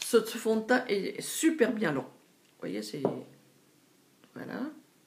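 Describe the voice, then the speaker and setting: A woman speaks at a very slow pace with big swings in loudness. Background noise is noticeable. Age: 60s. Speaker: beauty vlogger. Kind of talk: product haul review. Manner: hesitant with fillers.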